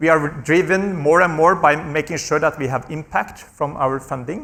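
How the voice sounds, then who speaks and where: Bright and sharp in tone, the voice moves at a fairly quick pace with ordinary pitch variation and a Norwegian accent. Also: man. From Norway. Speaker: health research charity executive. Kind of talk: panel discussion. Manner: repetitive stammering on small words.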